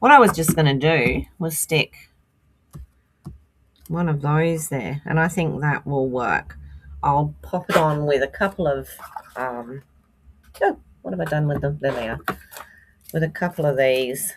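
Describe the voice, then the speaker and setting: At a fairly slow pace with long, frequent pauses, a woman speaks in a very deep, low pitch with ordinary pitch variation. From England. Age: 60s. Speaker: card-making crafter. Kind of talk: live-stream craft tutorial. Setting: live stream. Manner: casual, chatty.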